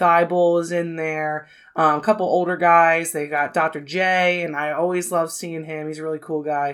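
Delivered in an American accent, the speech is monotone and flat, on a very clean recording with a silent background. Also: woman, fairly low pitch for a woman, moderate pace, hardly any pauses. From US Northeast, near Philadelphia. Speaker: film podcast co-host. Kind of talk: casual chat.

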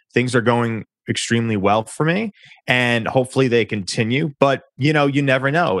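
A man at medium pitch with an American accent talks at a fairly quick pace in an unremarkable speaking voice, with ordinary pitch variation and a dry, close sound with no echo. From New York. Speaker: public relations firm founder, former journalist. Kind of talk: interview.

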